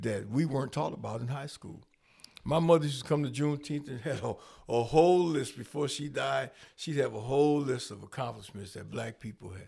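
Somewhat breathy and dark, mellow in tone, a man talks at a fairly quick pace and medium pitch with ordinary pitch variation and big swings in loudness. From Rockford, Illinois. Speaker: community organizer and mentor. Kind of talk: casual interview.

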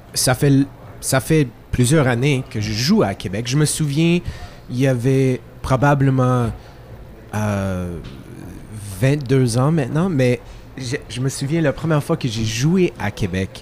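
Pausing long and often, a man speaks at a very slow pace in a medium-pitched voice with ordinary pitch variation. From Quebec, Italian-Friulian family. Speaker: singer-songwriter. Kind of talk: casual chat.

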